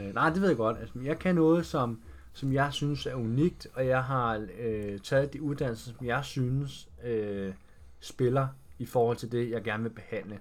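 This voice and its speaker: An unremarkable speaking voice moves at a fairly slow pace with ordinary pitch variation. The recording is very clean, with a silent background. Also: man, medium pitch for a man. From Denmark, Roskilde (Zealand). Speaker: fitness trainer, former footballer. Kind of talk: casual interview.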